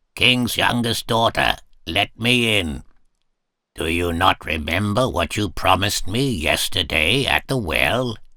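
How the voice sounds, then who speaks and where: A man's raspy, put-on character voice, fairly low in pitch and at a fairly slow pace, on a very clean recording with a silent background. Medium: read story.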